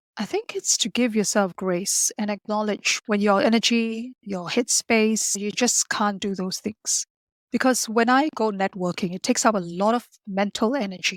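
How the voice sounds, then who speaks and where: Speaking at a moderate pace, a woman keeps a fairly high pitch and fairly even intonation. The recording is very clean with a silent background, the sound dry and close with no echo. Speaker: life coach for introverts. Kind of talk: interview conversation.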